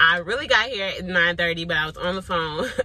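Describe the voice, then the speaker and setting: A woman at a fairly low pitch and a very fast pace, dry sound with no echo. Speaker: vlogger. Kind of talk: casual vlog chat. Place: car. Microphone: phone near.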